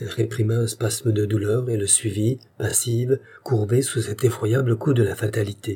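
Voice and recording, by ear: Reading aloud in a natural voice, fairly even intonation.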